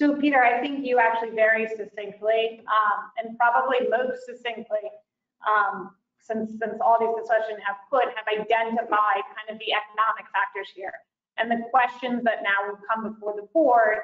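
Against a quiet background with audible room echo, a woman speaks at a moderate pace with fairly even intonation. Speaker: school board chair. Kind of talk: public committee meeting. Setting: video call. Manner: formal. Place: home room. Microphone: video call.

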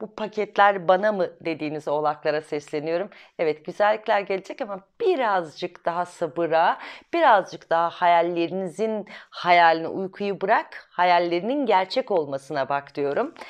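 Speaking in a fairly low pitch with an animated tone and ordinary pitch variation, a woman is heard over a quiet background. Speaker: astrology video host. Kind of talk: weekly horoscope monologue. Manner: fast. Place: home room. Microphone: lapel.

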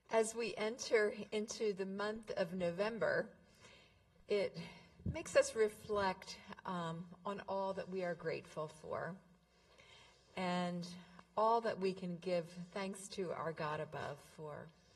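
Against a quiet background, a woman speaks very slowly with long, frequent pauses, her somewhat breathy voice showing ordinary pitch variation. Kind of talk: service announcement. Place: church. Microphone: handheld.

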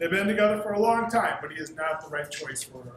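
Audible room echo and light background noise surround a man speaking at a high pitch. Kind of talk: reading aloud from a novel. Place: cafe. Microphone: camera far.

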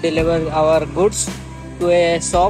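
Clear music plays in the background while a man speaks in a dry sound with no echo. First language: not English. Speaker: vlogger. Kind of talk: casual vlog talk to camera. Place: street. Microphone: phone near.

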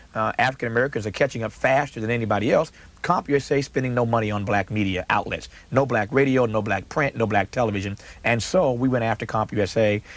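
A man talking at a very fast pace, dry sound with no echo. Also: ordinary pitch variation. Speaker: guest. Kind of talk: interview answer. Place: studio.

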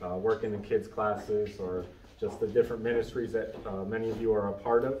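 With audible room echo and light background noise, a man speaks at a fairly quick pace in a monotone, flat intonation. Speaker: Sunday school teacher. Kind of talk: lecture. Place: classroom. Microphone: camera far.

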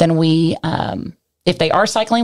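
A woman with an American accent and a very deep, low pitch, speaking at a moderate pace against a quiet background. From Kansas. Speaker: equine reproduction center manager. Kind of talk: interview. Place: studio. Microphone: studio mic.

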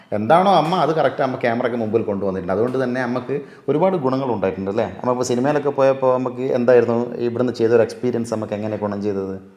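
A man's medium-pitched speech, with ordinary pitch variation, comes through noticeable background noise. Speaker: video creator and actor. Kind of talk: interview.

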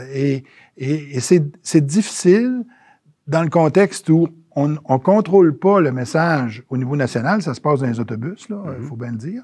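Somewhat breathy and dark, mellow in tone, a man speaks at a fairly slow pace and fairly high pitch with lively intonation and big swings in loudness over a quiet background. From Quebec City area, Quebec; Quebec. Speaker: geriatrician and former health minister; former health minister. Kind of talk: interview. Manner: halting, many hesitations. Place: office. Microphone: lapel.

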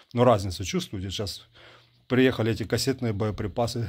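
A somewhat breathy male voice with ordinary pitch variation in a quiet background. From Ukraine. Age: 50s. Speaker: soldier and video blogger. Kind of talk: monologue answering viewer questions. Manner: animated. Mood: earnest, emotional, contemptuous of enemy. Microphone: earbuds.

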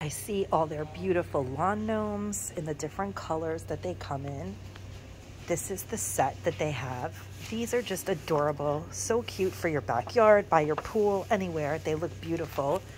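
Someone speaks at a moderate pace with music playing in the background. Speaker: shopping vlogger. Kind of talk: casual vlog chat. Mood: enthusiastic, admiring. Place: shop. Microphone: phone near.

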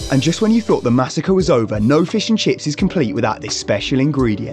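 With music in the background, a man speaks at a fairly high pitch in an upbeat, playful tone, his pitch swinging very widely. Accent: British. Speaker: food and travel content creator. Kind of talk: comedic cooking short voiceover.

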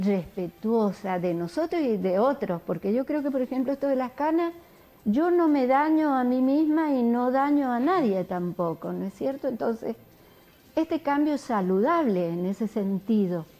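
Slowish and dark, a woman's high voice has a mellow tone. Her pitch swings very widely. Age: 60s. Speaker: psychologist and dance teacher. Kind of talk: interview. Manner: halting. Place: studio.

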